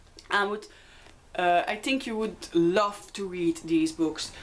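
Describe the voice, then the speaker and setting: A woman with a Dutch accent, very wide pitch swings and a fairly slow pace. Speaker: book vlogger. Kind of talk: casual book review vlog. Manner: hesitant with many fillers.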